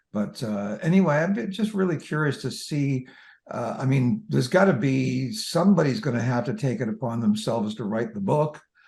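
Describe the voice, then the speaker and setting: A man talks at a moderate pace in a somewhat breathy voice, his pitch swinging very widely. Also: medium pitch for a man. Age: 70s. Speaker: veteran musician. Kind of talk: casual interview chat. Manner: halting.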